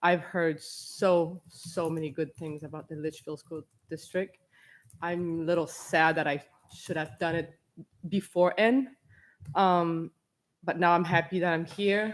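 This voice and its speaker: Fairly low-pitched woman's voice, fairly slow and fairly even in intonation, with long, frequent pauses. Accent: non-native. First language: not English. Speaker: parent speaking at public comment. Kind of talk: public comment at school board meeting.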